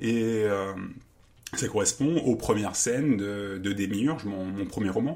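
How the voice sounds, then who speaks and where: Here a man speaks at a fairly low pitch. His pace is very slow. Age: 40s. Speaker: math teacher and writer. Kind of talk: interview. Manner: halting.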